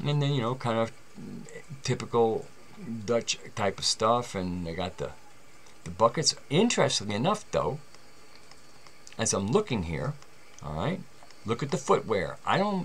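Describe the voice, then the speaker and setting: With a New York accent, a man talks at a moderate pace, his pitch swinging very widely. He leaves long, frequent pauses. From New York City, the Bronx. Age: 60s. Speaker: video commentator on alternative history. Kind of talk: casual commentary over images. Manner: informal, conversational with profanity-laced asides.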